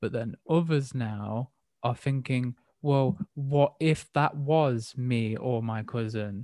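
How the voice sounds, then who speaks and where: Speaking very slowly with an English accent, a man uses a medium pitch with ordinary variation and a dark, mellow tone, recorded with a dry, close sound and no echo. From England. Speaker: podcast host. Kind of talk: casual chat. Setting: remote call.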